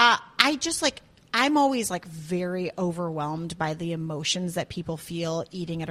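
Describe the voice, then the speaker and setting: A woman speaks in a normal speaking voice with an American accent. Her pitch is fairly low and her intonation lively. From US Midwest, Chicago area. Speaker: chef and restaurant owner. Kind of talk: casual chat.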